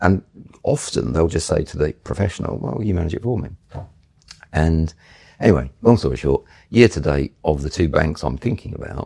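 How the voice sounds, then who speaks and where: With long, frequent pauses and vocal fry, a man speaks fairly quickly in a very deep, low voice that has a dark, mellow tone, lively intonation, and a dry, close sound with no echo. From northern England. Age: 60s. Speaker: property investor. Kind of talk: podcast interview.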